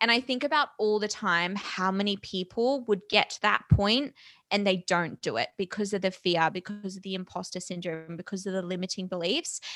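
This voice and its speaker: On a very clean recording with a silent background, a woman speaks with hardly any pauses and ordinary pitch variation, the sound dry and close with no echo. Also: medium pitch for a woman, moderate pace. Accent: Australian. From Australia. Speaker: entrepreneur and podcast host. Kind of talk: casual interview chat.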